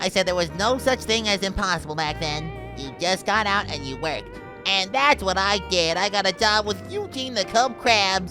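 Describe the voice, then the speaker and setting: Loud music plays in the background as a man puts on a character voice. His pitch is high and his pace moderate. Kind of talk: old-man oral history parody. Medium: solo performance. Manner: rambling, folksy storytelling.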